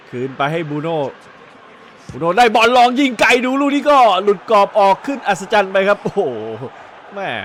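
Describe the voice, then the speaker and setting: A high-pitched man speaks with very wide pitch swings. Noticeable background noise runs behind him. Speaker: football commentator. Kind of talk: football match commentary.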